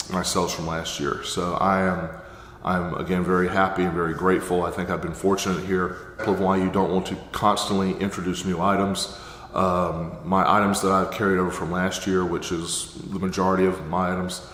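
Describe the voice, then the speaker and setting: The intonation stays monotone and flat, with noticeable background noise present. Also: man, very deep, low pitch for a man. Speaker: Amazon seller and course teacher. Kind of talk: casual talk to camera.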